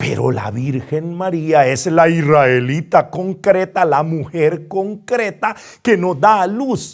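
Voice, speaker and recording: In a very clean recording with a silent background, a man speaks at a very slow pace and a high pitch. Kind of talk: bible study lecture.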